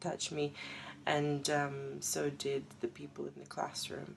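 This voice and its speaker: Speaking at a moderate pace, a woman talks in a Russian accent. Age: 20s. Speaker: paralegal and artist sharing personal story. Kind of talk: personal testimony.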